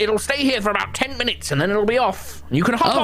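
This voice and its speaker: A put-on character voice rattles along at a very fast pace. Its pitch is fairly high. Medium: actual play. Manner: chatty, jolly, effusive.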